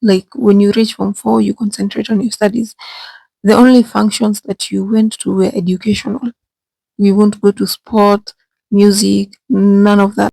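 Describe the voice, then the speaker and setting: A woman whispers at a moderate pace, somewhat breathy. The sound is dry and close, with no echo. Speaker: vlogger. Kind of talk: storytelling vlog. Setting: bathroom. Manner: whispering.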